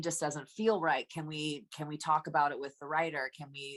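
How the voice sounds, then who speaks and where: Speaking in an American accent, a woman has a very deep, low pitch. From Anaheim, California. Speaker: musical theatre actress and singer. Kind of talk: interview answer.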